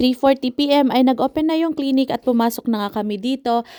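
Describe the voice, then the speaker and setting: On a very clean recording with a silent background, a woman speaks at a fairly quick pace in a dark, mellow tone with ordinary pitch variation, the sound dry and close with no echo. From Philippines. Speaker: family vlogger. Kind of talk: vlog voiceover narration.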